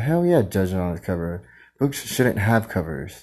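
A man speaks in a very deep, low voice. His tone is dark and mellow. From Filipino heritage. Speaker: solo podcaster. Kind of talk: casual monologue. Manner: rambling, disjointed.

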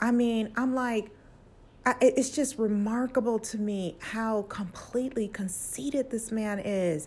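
A woman's voice, somewhat breathy, with a dark, mellow tone. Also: fairly high pitch for a woman, ordinary pitch variation, fairly slow pace. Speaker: podcast host sharing her own story. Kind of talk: angry rant, defiant personal testimony. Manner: heated, defiant, emphatic, forceful.

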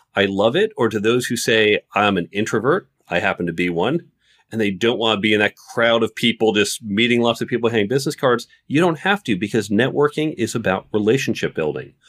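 A man with an American accent speaks at medium pitch and a moderate pace, with lively intonation and very even loudness. The sound is dry and close with no echo, on a very clean recording with a silent background. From New York area, US. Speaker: author, technology executive and lecturer. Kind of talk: interview, casual conversational chat.

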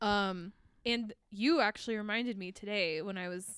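The delivery is animated and fairly slow, with ordinary pitch variation. The recording is very clean and dry, close with no echo and a silent background. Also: woman. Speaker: podcast host. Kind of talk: casual chat. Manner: laughs often, animated.

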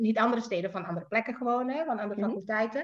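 A woman talks in a fairly high voice. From Indonesia, Jakarta. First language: Indonesian (speaking Dutch). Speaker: writer. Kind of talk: casual chat.

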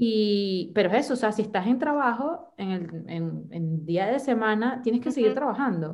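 A woman's fairly high-pitched, unremarkable speaking voice at a moderate pace with lively intonation. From Venezuela. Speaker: podcast guest. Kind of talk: casual chat.

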